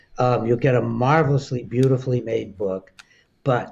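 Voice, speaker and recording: A man talks at medium pitch in a somewhat breathy voice. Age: 80s+. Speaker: psychiatrist and author. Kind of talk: interview.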